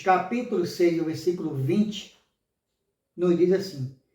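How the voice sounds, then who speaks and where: Pitched high, a man's voice has a dark, mellow tone and ordinary pitch variation. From Brazil, Pernambuco (Limoeiro). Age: 60s. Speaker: lay preacher. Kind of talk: sermon. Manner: halting, with many fillers.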